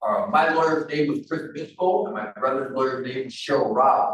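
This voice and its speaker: Here a man with a normal speaking voice and a fairly high pitch talks at a moderate pace. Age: 30s. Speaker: prisoner telling his life story. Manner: casual, conversational.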